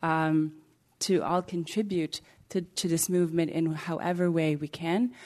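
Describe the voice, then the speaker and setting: Against a quiet background, a woman speaks at a moderate pace in a fairly low pitch, her tone dark and mellow and her intonation fairly even. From Morocco (Casablanca). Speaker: interfaith advocate, panelist. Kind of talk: panel discussion. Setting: stage with live audience.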